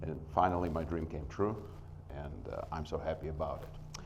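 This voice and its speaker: There is vocal fry in this man's voice, and the room echo is audible. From Soviet Union. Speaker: small business owner. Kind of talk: business pitch presentation. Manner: hesitant, many filler sounds.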